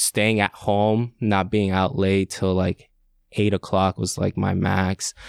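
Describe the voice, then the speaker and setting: A man speaks very slowly at a fairly low pitch, in a monotone, flat intonation. The sound is dry and close with no echo, on a very clean recording with a silent background. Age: 30s. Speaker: real estate agent. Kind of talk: casual interview chat.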